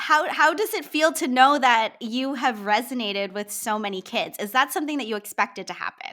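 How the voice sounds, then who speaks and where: A woman with a high pitch and a bright, sharp tone projects a raised voice at a fairly quick pace, her pitch swinging very widely with hardly any pauses. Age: 30s. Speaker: podcast host. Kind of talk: interview.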